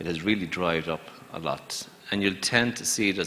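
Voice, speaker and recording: A man with an Irish accent talks at a fairly quick pace over noticeable background noise. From Ireland. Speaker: banker. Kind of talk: panel discussion.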